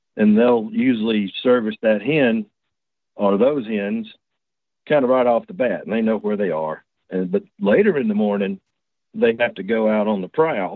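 A man with a Southern US accent speaks at a medium pitch with ordinary pitch variation. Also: moderate pace. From Georgia, US. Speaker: turkey hunter, caller. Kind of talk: casual chat, telling personal story. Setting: phone or video call.

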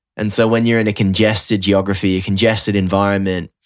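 A man with an Australian accent, fairly low pitch, fairly even intonation and a fairly quick pace, in a very clean recording with a silent background. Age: 30s. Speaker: podcast host and musician. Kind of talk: casual chat.

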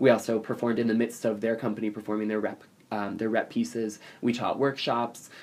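Talking at a fairly quick clip, a man with an American accent keeps his medium-pitched voice monotone and flat. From South Jersey, US (Atlantic City). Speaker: theater performer. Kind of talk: casual interview.

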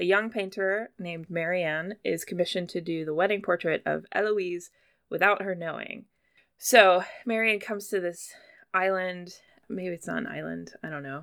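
At a moderate pace, a woman with an unremarkable speaking voice talks with fairly even intonation. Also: medium pitch for a woman. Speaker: podcast host. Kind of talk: casual chat about pop culture.

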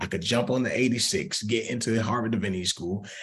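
A man with an American accent talks at a moderate pace, his voice somewhat breathy. The room echo is audible. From US South, Atlanta, Georgia. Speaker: pastor. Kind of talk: casual interview.

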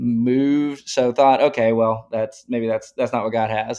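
The speaker has a Texan accent and keeps a moderate pace. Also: man. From East Texas, Tyler. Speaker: oil and gas and ranching worker. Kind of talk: casual interview.

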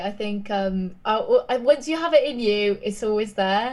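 With a southern English accent, a woman talks at a fairly high pitch with lively intonation. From southern England. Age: 20s. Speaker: pop singer and songwriter. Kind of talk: casual interview. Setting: remote call from London. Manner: casual, chatty.

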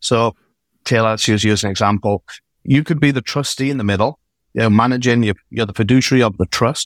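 A man with an English accent at a fairly quick pace, medium pitch and ordinary pitch variation, in a dry, close sound with no echo on a very clean recording with a silent background. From England. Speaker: accountant and CFO services founder. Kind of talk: podcast interview.

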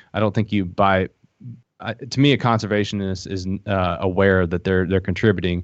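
A man's very deep, low voice with fairly even intonation at a moderate pace. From Appalachia, eastern Kentucky. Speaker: founder of a hunting social app. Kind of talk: casual podcast interview.

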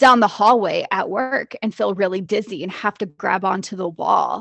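With an American accent, a woman uses an unremarkable speaking voice at a medium pitch and moderate pace, with ordinary pitch variation. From US Midwest, Jasper, Indiana. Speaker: licensed therapist, podcast co-host. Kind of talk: educational chat; reading aloud.

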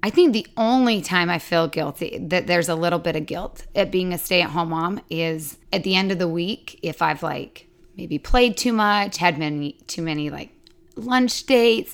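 An ordinary speaking voice: a woman with an American accent, fairly low pitch, ordinary pitch variation and a moderate pace, on a very clean recording with a silent background. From Utah. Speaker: stay-at-home mom. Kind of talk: casual chat.

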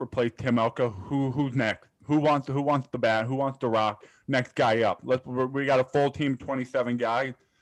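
Recorded dry and close with no echo, a man with a normal speaking voice speaks at a moderate pace, his medium pitch carried in fairly even intonation. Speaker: college baseball podcast co-host. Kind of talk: casual chat.

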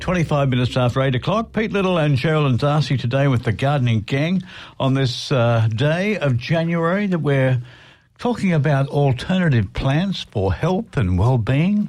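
A man's fairly high, somewhat breathy voice with a warm, relaxed tone, lively intonation, very even loudness and a moderate pace. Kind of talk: radio dj patter. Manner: relaxed, jokey, bantering; chatty, warm on-air banter.

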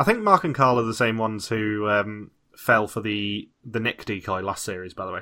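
A bright, sharp voice with a British accent talks at a moderate pace with ordinary pitch variation. The recording is very clean with a silent background. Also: man, medium pitch for a man. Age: 20s. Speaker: podcast host. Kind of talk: casual chat.

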